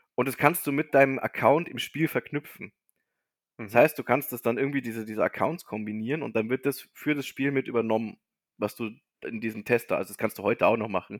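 A man with an ordinary speaking voice talks at a fairly quick pace, medium in pitch with ordinary pitch variation, in a dry, close sound with no echo. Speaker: podcast co-host. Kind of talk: casual chat.

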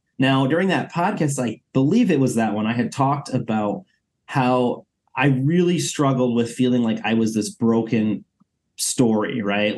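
This is a man with a normal speaking voice. His pitch sits in the middle range. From Costa Rica, then Michigan from age 10. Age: 30s. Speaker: adoptee community organizer, nonprofit worker. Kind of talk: personal interview.

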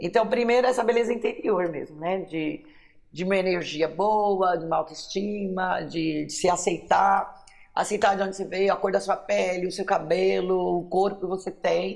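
Carrying vocal fry, a woman at a medium pitch talks at a moderate pace with fairly even intonation. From São Paulo city, born in Minas Gerais. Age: 50s. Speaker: writer and teacher. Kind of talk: interview testimony.

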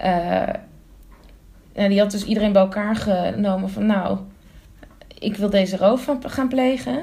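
A woman's voice carries audible room echo. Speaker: podcast co-host. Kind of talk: casual chat.

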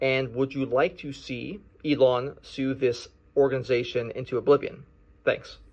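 Against a quiet background, a man with a plain, everyday voice speaks at a moderate pace and medium pitch, his intonation fairly even but his loudness swinging widely. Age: 30s. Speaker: attorney calling in to a show. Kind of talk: recorded listener question.

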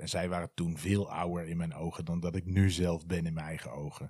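On a very clean recording with a silent background, a man speaks in a very deep, low pitch with a dark, mellow tone and flat, monotone intonation. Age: 40s. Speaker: podcaster. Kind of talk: casual monologue.

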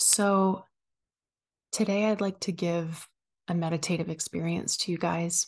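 In a soothing, calm, somewhat breathy tone, the speaker goes at a fairly slow pace with monotone, flat intonation, very even loudness and long, frequent pauses against a quiet background. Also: woman, fairly low pitch for a woman. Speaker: podcast host and wellness coach. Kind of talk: guided meditation. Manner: soft, slow, soothing; calm, gentle, paced with long pauses.

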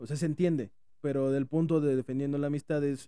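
A fairly high male voice with a dark, mellow tone at a fairly quick pace. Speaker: podcast co-host. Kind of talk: casual chat. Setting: airport.

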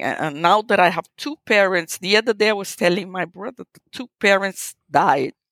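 A woman with a Portuguese accent speaks at a medium pitch in an animated tone. The sound is dry and close, with no echo. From Brazil. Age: 60s. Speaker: photographer. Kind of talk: interview conversation. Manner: animated, laughs often.

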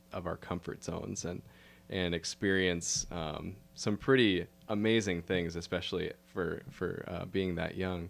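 Recorded very cleanly against a silent background, a man with a very deep, low pitch speaks at a moderate pace with fairly even intonation. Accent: American. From Minnesota, Twin Cities. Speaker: author and photographer. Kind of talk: interview storytelling.

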